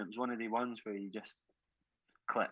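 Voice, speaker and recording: Over a quiet background, a man with a Scottish accent speaks in a bright, sharp tone with ordinary pitch variation. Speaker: rock drummer. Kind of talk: podcast interview. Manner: halting, many repeated words.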